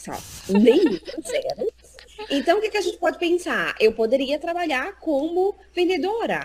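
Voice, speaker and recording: A woman's extremely high voice with very wide pitch swings, an animated tone and a moderate pace, over noticeable background noise. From Brazil, Recife (Northeast). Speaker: psychologist and job market specialist. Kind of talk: interview in a live stream.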